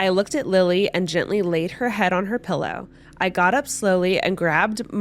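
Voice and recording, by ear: Text is being read out loud. The reading voice is natural.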